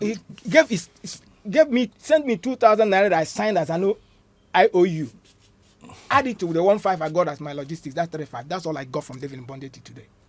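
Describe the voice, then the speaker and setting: This voice races at a very fast pace, with very wide pitch swings and big swings in loudness. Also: man, high pitch for a man. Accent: Nigerian. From Nigeria, Igbo. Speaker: actor and filmmaker. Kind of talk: interview. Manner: halting, repeats words.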